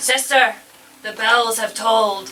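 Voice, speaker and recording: A put-on character voice, female-sounding and fairly high in pitch for a woman, with monotone, flat intonation. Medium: stage play. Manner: curt, disdainful.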